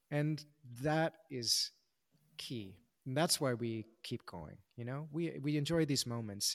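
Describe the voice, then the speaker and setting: A very slow pace with ordinary pitch variation, on a very clean recording with a silent background. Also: man, fairly high pitch for a man. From Hawaii. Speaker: dancer and choreographer. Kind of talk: casual interview. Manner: halting, many fillers and restarts.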